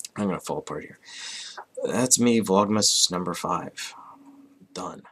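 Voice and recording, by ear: In a raspy, put-on character voice, a man speaks at a fairly low pitch and a moderate pace, with ordinary pitch variation and big swings in loudness.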